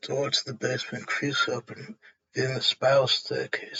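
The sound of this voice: Nothing stirs in the background. The reading voice is unforced.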